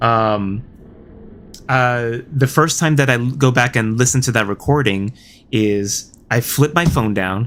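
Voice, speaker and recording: A man with an ordinary speaking voice talks at a fairly slow pace and medium pitch, with ordinary pitch variation. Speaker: gaming streamer. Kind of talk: livestream chat. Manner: many filler words.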